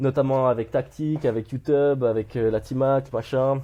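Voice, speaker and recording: Against a quiet background, a man with a dark, mellow tone speaks at a medium pitch with fairly even intonation. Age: 20s. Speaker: podcast host. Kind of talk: coaching conversation. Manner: loud; casual, hesitant.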